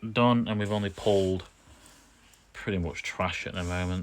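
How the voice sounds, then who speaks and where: With a British accent, a man speaks in a monotone, flat intonation at a very deep, low pitch. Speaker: pokemon card opening streamer. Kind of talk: live stream chat.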